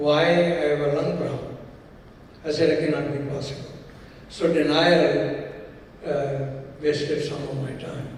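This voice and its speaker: A man with a fairly high voice speaks at a fairly slow pace, in a monotone, flat intonation, with long, frequent pauses. Noticeable background noise and audible room echo surround him. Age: 70s. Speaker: business executive. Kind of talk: fireside chat.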